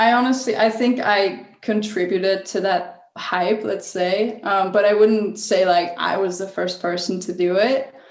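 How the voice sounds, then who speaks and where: A woman talks at a fairly slow pace with hardly any pauses. Noticeable background noise is present. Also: medium pitch for a woman, ordinary pitch variation. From northern Italy. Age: 20s. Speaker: travel photographer. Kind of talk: interview.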